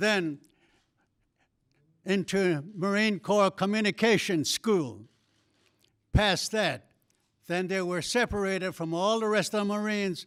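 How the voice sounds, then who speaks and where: In a Southwestern US accent, a man with a high pitch speaks at a fairly slow pace with fairly even intonation and long, frequent pauses, on a very clean recording with a silent background. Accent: Navajo-accented English. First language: Navajo. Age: 80s+. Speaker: war veteran. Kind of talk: formal speech at an event.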